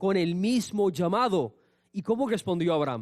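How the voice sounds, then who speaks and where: Lively intonation and an animated tone mark this man's speech. He keeps a moderate pace. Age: 30s. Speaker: pastor. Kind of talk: sermon.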